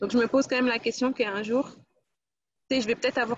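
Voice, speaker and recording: Speaking very fast, a woman with a high pitch keeps her intonation fairly even. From France, Guadeloupean family. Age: 20s. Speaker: employment counsellor and women's platform creator. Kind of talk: casual interview chat.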